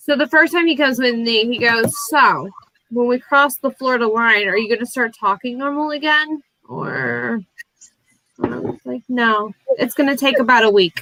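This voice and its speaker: An American accent from a woman, high-pitched, at a moderate pace, in a dry, close sound with no echo. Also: ordinary pitch variation. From Alabama. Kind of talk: casual chat.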